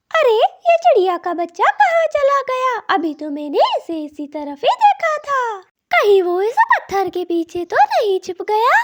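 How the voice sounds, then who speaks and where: A cartoonish character voice with very wide pitch swings and big swings in loudness, dry and close with no echo. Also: woman, extremely high pitch for a woman, moderate pace, hardly any pauses. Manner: greedy, self-centred.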